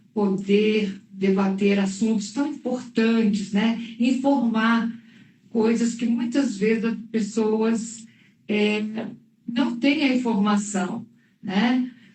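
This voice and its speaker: In a room with audible echo, a woman with a fairly high, somewhat breathy voice speaks at a very slow pace, with very even loudness and fairly even intonation. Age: 60s. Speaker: oncologist. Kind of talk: live interview. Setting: livestream.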